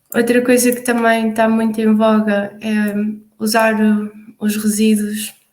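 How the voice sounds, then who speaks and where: A woman speaks in a European Portuguese accent. Her voice is somewhat breathy and her intonation is monotone and flat. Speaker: youth project facilitator. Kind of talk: online collaborative meeting presentation. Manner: halting, many fillers.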